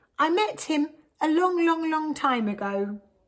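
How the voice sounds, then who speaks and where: A woman's put-on character voice, high and squeaky, with very wide pitch swings at a moderate pace. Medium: read story. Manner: storytelling, spooky emphasis.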